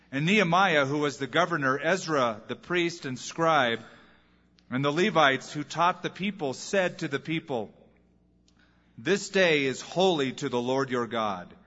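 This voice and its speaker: Fairly high in pitch, a man speaks slowly, in an unremarkable speaking voice, at a fairly slow pace. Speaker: pastor reading scripture. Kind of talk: reading aloud. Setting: church.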